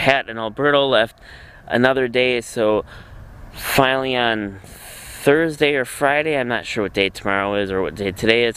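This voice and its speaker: A man's voice at a moderate pace, with ordinary pitch variation. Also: dry sound with no echo. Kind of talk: casual vlog chat. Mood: relaxed, looking forward. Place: boat. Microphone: phone near.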